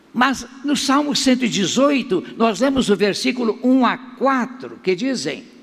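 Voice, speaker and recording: At a fairly slow pace, a man speaks at an extremely high pitch with ordinary pitch variation and very even loudness. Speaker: pastor. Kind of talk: sermon.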